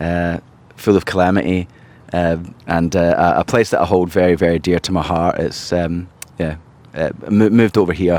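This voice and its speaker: Speaking in a Scottish accent, a man with a very deep, low pitch keeps a moderate pace and fairly even intonation, leaving long, frequent pauses. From Scotland, Glasgow. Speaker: charity founder and civil engineer. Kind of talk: podcast interview. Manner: halting, many repeated words.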